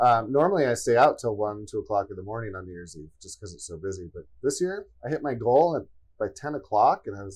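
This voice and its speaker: Over a quiet background, a man of medium pitch talks at a very fast pace, somewhat breathy, with very wide pitch swings and big swings in loudness. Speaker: podcast co-host. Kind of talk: casual chat.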